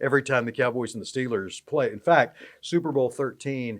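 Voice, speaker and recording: This man has a plain, everyday voice, pitched in the medium range, with ordinary pitch variation. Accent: American. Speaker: sports play-by-play announcer. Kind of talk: podcast interview answer.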